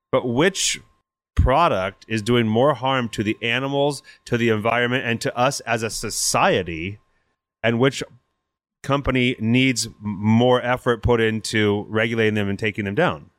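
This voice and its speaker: With an American accent, a man uses a plain, everyday voice at a medium pitch and moderate pace. His pitch varies in an ordinary way, in a very clean recording with a silent background. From US West Coast (Napa, California). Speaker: chef and restaurant owner. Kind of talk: interview. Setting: in person at his restaurant.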